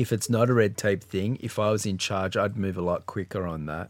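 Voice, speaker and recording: In a very clean recording with a silent background, a man with an Australian accent talks at a moderate pace with a fairly low pitch and ordinary pitch variation. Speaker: podcast co-host, guest. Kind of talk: casual chat.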